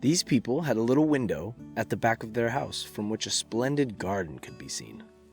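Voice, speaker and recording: A man talks at a medium pitch while music plays behind him. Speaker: voice actor. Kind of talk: bedtime story reading.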